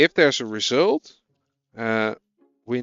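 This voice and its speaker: A man with a Dutch accent and a medium pitch speaks at a fairly slow pace. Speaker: programming streamer. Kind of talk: live coding stream, casual chat with viewers. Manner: casual, hesitant.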